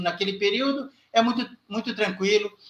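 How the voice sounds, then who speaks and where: A man speaks with a high-pitched voice. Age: 60s. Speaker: online channel host. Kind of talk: interview. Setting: live stream.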